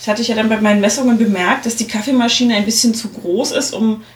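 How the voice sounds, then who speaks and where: A woman talks at a very fast pace in a fairly high pitch, with noticeable background noise. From East Germany. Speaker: podcast host. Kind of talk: casual chat. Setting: studio.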